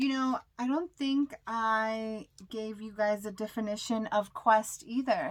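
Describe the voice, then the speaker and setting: Over a silent background in a very clean recording, a woman with a fairly high pitch and ordinary pitch variation speaks very slowly, with hardly any pauses. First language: not English. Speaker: tarot card reader. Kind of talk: tarot reading. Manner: halting.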